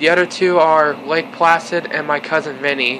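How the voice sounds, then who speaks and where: Amid noticeable background noise, a man talks at a moderate pace with fairly even intonation. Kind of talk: casual vlog chat. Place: home room. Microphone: phone near.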